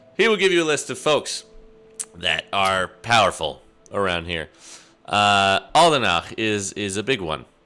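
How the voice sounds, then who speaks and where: Music runs underneath. Over it, a man talks fairly slowly. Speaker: game master. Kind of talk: tabletop roleplaying game narration.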